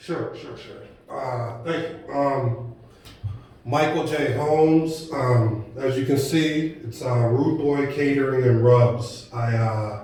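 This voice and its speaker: A man at a very slow pace with fairly even intonation and big swings in loudness, amid noticeable background noise and audible room echo. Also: medium pitch for a man. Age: young. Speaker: caterer and entrepreneur. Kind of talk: interview.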